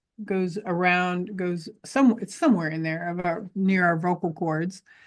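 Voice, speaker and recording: Against a quiet background, a woman uses a normal speaking voice at medium pitch, talking at a fairly slow pace with ordinary pitch variation. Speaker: healing and breathwork guide. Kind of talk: guided breathing exercise instruction. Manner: calm, encouraging.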